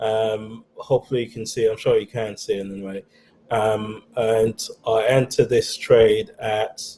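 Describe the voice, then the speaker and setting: At a fairly slow pace, a man with a dark, mellow tone and medium pitch sounds somewhat breathy and speaks in a monotone, flat intonation. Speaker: trading channel host. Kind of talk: screen-share trading tutorial. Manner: hesitant, many fillers.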